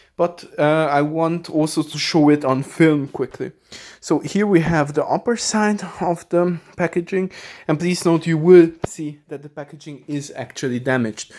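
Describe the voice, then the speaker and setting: In a very clean recording with a silent background, the talking proceeds at a moderate pace. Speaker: video creator, collector. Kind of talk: unboxing video. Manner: hesitant, with fillers.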